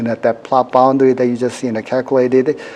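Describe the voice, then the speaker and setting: Noticeable background noise around a man's voice. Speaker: university professor teaching a workshop. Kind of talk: live software demonstration workshop. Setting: workshop room with audience. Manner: fast; many fillers like 'you know'.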